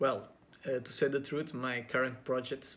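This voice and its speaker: With a Portuguese accent, a man speaks at a moderate pace and a medium pitch. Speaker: actor and pageant contestant. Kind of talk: interview answers to camera. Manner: halting, with many fillers; casual.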